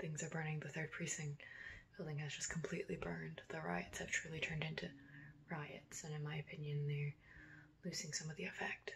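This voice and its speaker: Soft-spoken delivery at a fairly quick pace. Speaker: vlogger. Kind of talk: video diary.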